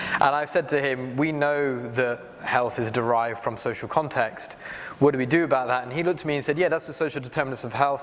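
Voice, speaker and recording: A man with a British accent speaks very fast at a medium pitch with ordinary pitch variation. Noticeable background noise sits behind him. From UK. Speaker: health nonprofit leader on a panel. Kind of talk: panel discussion. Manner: hesitant, many fillers.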